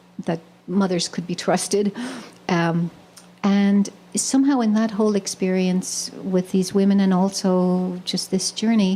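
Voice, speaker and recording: A woman talks at a fairly slow pace with a medium pitch and fairly even intonation. Her tone is dark and mellow, and somewhat breathy. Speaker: poet, spiritual teacher. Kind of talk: spoken talk at a live poetry reading. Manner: hesitant, reflective, many filler words.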